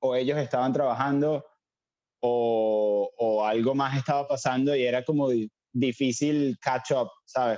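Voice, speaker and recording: In an ordinary speaking voice, a man talks at medium pitch with fairly even intonation and very even loudness. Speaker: cook. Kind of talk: casual chat.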